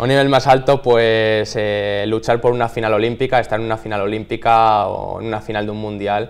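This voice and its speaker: A man talks at a fairly quick pace with hardly any pauses. His medium-pitched voice stays flat and monotone. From Spain, Salamanca province; Spain. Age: 20s. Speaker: athlete; interviewee. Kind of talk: interview. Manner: halting, with many repeated words. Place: studio.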